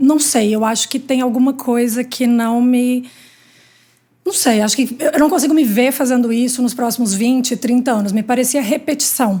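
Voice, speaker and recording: The voice has a Minas Gerais accent, a moderate pace, fairly even intonation and very even loudness. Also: woman, high pitch for a woman. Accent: Minas Gerais (mineiro). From Minas Gerais, Brazil. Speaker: healthcare industry executive. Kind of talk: interview.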